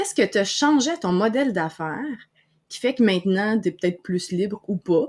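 At a moderate pace, a woman with a Quebec accent talks at medium pitch with lively intonation over a quiet background. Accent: Québécois French. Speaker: podcast host and online broadcasting coach; podcast host, online broadcasting coach. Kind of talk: live-streamed interview. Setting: live stream video call. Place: home room. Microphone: webcam.

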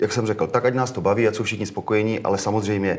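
A man's fairly low voice runs in a monotone, flat intonation. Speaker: guest. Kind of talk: interview answer. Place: studio. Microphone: lapel.

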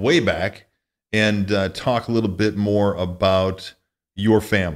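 A man speaks at a very slow pace, with a fairly low pitch and fairly even intonation. His loudness stays very even against a quiet background. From US Midwest, northwest Illinois. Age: 40s. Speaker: podcast host. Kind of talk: casual interview. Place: studio. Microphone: studio mic.

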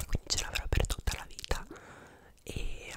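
Whispered words from a man. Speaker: ASMR creator. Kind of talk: casual talk to camera. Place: home room. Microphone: studio mic.

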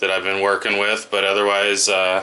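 A man is the voice here. His delivery moves at a moderate pace. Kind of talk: casual vlog chat. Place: office. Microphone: phone near.

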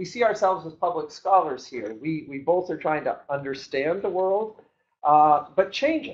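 A man talks at a moderate pace with lively intonation and big swings in loudness. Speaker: panel moderator. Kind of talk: panel introduction. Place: meeting room. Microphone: camera far.

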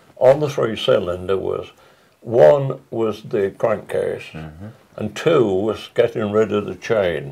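A man's very slow speech in an English accent. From England. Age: 80s+. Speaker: retired truck engine design engineer. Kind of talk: interview answer. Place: home room.

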